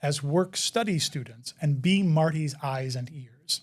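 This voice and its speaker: A man with an American accent uses an ordinary speaking voice, fairly high in pitch, with ordinary pitch variation at a moderate pace. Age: 50s. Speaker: inclusive education expert. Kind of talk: interview. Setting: live online event.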